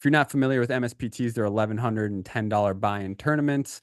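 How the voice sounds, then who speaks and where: With an energetic tone, a man talks at a medium pitch and ordinary pitch variation, the sound dry and close with no echo against a quiet background. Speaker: poker podcast host. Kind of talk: casual podcast chat.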